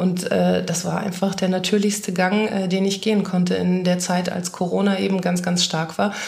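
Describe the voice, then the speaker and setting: A woman speaks at a moderate pace and medium pitch, in a flat monotone with very even loudness and hardly any pauses. Room echo is audible, and there is noticeable background noise. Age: 30s. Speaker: make-up artist and influencer agency head. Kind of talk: casual interview chat.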